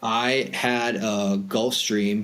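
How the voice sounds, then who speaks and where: The speaker is a man. He has an American accent. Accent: Boston accent, sometimes comes out. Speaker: private aviation broker. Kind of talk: podcast interview. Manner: casual, many fillers.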